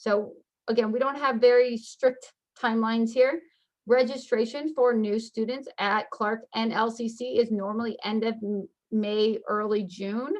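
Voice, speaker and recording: This woman's voice sits at a fairly high pitch, with fairly even intonation. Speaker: school counselor. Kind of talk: informational webinar presentation. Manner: fast.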